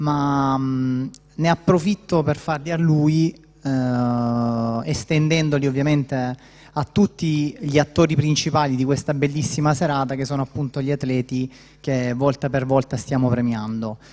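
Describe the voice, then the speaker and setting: This man's voice is fairly high. He speaks fairly slowly, keeping his intonation fairly even. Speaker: military officer presenting award. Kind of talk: award speech. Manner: hesitant, many fillers.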